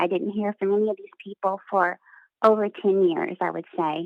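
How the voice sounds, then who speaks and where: With an American accent, a woman speaks at a moderate pace in a medium pitch, using ordinary pitch variation. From Texas. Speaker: caller. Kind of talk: testimony. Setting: phone call. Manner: halting, many fillers.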